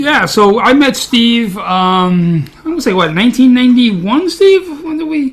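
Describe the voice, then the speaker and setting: Extremely high-pitched for a man, this male voice with a Brooklyn accent makes very wide pitch swings and hardly any pauses. Noticeable background noise runs underneath. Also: moderate pace. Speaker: podcast co-host, martial artist. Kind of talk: casual chat.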